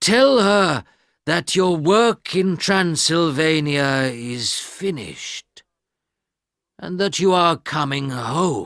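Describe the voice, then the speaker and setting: This man uses a put-on character voice, pitched fairly high. He speaks at a very slow pace. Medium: read story. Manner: commanding.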